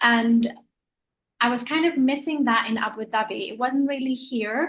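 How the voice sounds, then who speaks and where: Ordinary pitch variation at a moderate speed. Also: woman, high pitch for a woman. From Denmark. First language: Danish. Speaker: secondhand clothing store owner. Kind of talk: panel discussion. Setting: video call.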